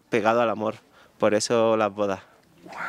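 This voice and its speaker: A man speaks at a fairly quick pace with an Andalusian accent, and the sound is dry with no echo. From southern Andalusia, Spain. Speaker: wedding photographer; guest. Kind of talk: interview. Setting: live audience event. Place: garden. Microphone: handheld.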